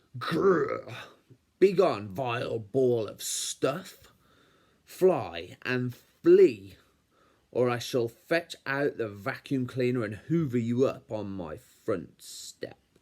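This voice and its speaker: A man growls in a put-on character voice at a medium pitch. He speaks at a very slow pace. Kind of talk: posh, pompous. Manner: snarling, grand, haughty.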